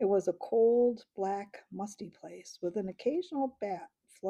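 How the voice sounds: Heard against a quiet background, a natural reading voice moves with ordinary pitch variation.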